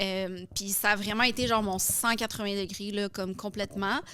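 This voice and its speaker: A woman at a medium pitch and moderate pace uses a normal speaking voice. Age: 30s. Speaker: fitness influencer and coach. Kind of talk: podcast interview. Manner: casual, many fillers.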